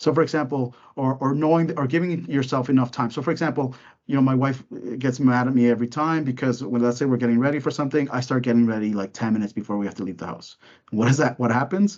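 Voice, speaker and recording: A man races along at a very fast pace, his medium pitch showing ordinary pitch variation. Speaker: psychologist giving a parenting webinar. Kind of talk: webinar lecture. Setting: online webinar.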